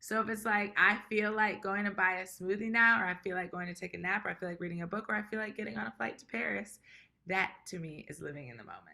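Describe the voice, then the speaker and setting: Talking at a very fast pace, a woman with a medium pitch sounds animated, her bright, sharp tone carrying vocal fry, lively intonation and big swings in loudness. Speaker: tap dancer. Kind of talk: casual chat.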